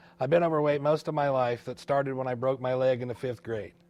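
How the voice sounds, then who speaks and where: In a quiet background, a man with an American accent speaks at a fairly high pitch. His pace is fairly quick. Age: 40s. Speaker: digital health entrepreneur. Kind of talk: personal story narration.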